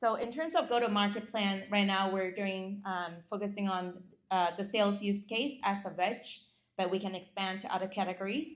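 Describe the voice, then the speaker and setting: A medium-pitched woman with a Chinese accent. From China, rural village. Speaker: startup founder. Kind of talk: pitch and Q&A. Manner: halting with fillers and restarts.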